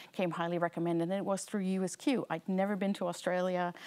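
In a North American accent, a woman with a medium-pitched voice speaks with fairly even intonation. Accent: North American-sounding English. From Netherlands. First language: Dutch. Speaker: learning experience designer. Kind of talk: seminar lecture. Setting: lecture room with live audience. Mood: warm, friendly storytelling. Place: hall. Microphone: lapel.

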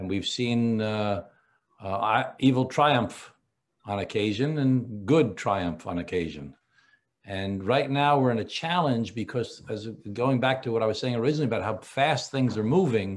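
A man at a moderate pace with lively intonation. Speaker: politician guest. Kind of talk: interview answer. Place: home room. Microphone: video call.

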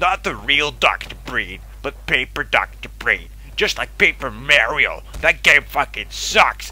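A strained, put-on character voice at a fairly slow pace, with clear background noise. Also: man. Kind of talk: mock news broadcast. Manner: pompous, rambling.

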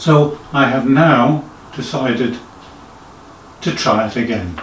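A man's very slow speech with ordinary pitch variation, audible room echo, and light background noise. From England, Suffolk. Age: 60s. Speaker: amateur organist. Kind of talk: casual talk to camera. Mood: modest, reflective. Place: home room.

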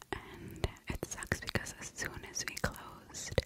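A woman is whispering. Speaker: ASMR creator. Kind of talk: ASMR whisper ramble. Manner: whispered. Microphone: studio mic.

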